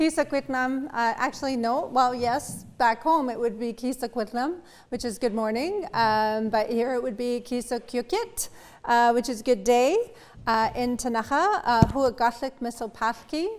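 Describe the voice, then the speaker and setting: A woman speaks at a moderate pace with a high pitch and ordinary pitch variation. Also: very clean recording, silent background. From Ktunaxa community, British Columbia, Canada. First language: Ktunaxa. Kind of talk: conference presentation. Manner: halting, many fillers.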